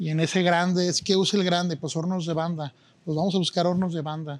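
With high pitch and a monotone, flat intonation, a man speaks at a very fast pace. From Guadalajara, Mexico. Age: 40s. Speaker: chef and restaurant owner. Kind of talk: interview. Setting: in a restaurant.

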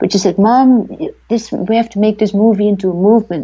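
A woman talks fairly quickly with a Dutch accent. Her voice is fairly high-pitched, with a dark, mellow tone. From Netherlands. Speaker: documentary filmmaker. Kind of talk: interview. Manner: halting.

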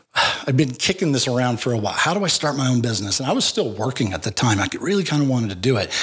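With noticeable background noise behind him, a man talks at a very fast pace with hardly any pauses, his medium pitch swinging very widely. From Wyoming. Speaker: author and business owner. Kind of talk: casual chat.

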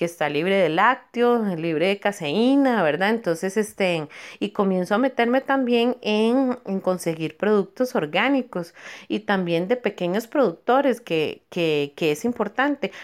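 The speaker goes at a fairly slow pace with lively intonation and very even loudness. The recording is very clean, with a silent background. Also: woman, medium pitch for a woman. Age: 40s. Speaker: dental technician and small food business owner. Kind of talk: testimony. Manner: halting, many fillers and repetitions.

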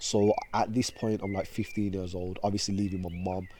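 In a Birmingham accent, a man speaks with a dark, mellow tone at a fairly low pitch and with monotone, flat intonation. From Birmingham, England. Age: 20s. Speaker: motivational speaker. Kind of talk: casual interview.

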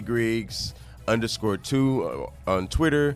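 A man speaks at a fairly low pitch and a fairly slow pace. Music plays in the background. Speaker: podcast host. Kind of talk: casual interview chat.

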